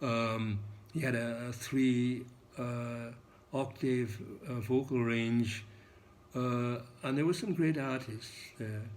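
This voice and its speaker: A man at a medium pitch, very slow, with long, frequent pauses, fairly even intonation and audible room echo. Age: 80s+. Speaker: English teacher. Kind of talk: lecture. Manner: halting, many fillers.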